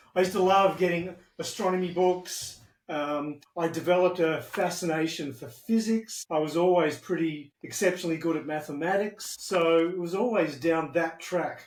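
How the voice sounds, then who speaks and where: A man with an Australian accent speaks at a moderate pace in a high voice, his intonation fairly even. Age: 60s. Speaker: retired IT specialist. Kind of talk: interview.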